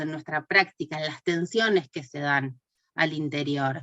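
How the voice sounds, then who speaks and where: Her pitch shifts in an ordinary way. The woman speaks fairly slowly. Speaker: course teacher. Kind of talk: online class lecture. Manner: hesitant, many fillers.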